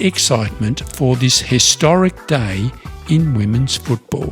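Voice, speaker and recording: A man speaks at a very slow pace with very wide pitch swings. Music plays in the background. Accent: Australian. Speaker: English teacher podcaster. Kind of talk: slow English learning podcast. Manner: slow, clear.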